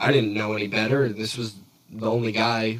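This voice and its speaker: A man speaks in a fairly low pitch with monotone, flat intonation. Noticeable background noise runs underneath. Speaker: podcast host. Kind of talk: casual chat. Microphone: echoey audio from poorly set up mic.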